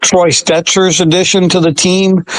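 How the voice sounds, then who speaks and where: With noticeable background noise behind him, a man speaks at a fairly slow pace in a high pitch. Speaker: sports reporter. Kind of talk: interview answer. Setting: phone line. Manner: calm, steady.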